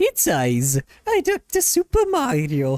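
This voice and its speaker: This is a put-on character voice in an Italian accent. It moves at a fairly slow pace. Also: man. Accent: Italian, exaggerated. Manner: comic, bad imitation.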